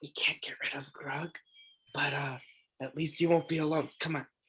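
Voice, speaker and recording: In a put-on character voice, the speaker whispers raspily at a moderate pace. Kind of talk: conspiratorial, comforting. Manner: slow whisper.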